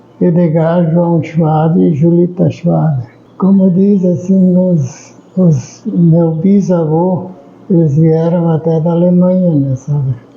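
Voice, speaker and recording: A man with a high pitch speaks at a very slow pace, with very even loudness and fairly even intonation, against noticeable background noise. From Humaitá, Rio Grande do Sul, southern Brazil. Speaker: long-time local resident. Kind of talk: interview testimony. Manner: halting, repeats words.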